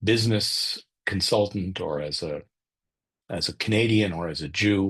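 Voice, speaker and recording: Against a quiet background, a man speaks at a moderate pace in a somewhat breathy voice with ordinary pitch variation. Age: 60s. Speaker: author and business consultant. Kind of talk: webinar interview answer. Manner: halting, many restarts.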